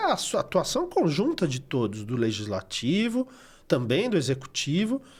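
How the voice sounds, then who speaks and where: In a very clean recording with a silent background, a man speaks at a fairly high pitch and a moderate pace. His voice is somewhat breathy and swings very widely in pitch. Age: 60s. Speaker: recycling NGO coordinator. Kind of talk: podcast interview.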